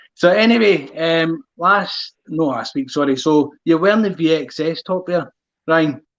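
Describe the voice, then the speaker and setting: This man has a strong Glaswegian accent. His pitch is high. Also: ordinary pitch variation, fairly slow pace. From Scotland, Glasgow. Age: 30s. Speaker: running channel host. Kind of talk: casual chat.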